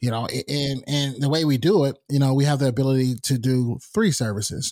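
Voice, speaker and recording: Over a silent background in a very clean recording, a man with an American accent talks at a fairly quick pace in a plain, everyday voice, medium in pitch with ordinary pitch variation. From North Carolina, US South. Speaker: podcast host and talent manager. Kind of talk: casual interview chat.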